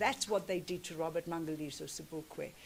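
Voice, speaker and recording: A woman speaks with a South African accent. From South Africa, Cape Flats (Cape Town). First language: Afrikaans. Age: 60s. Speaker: activist speaker. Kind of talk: commemorative speech.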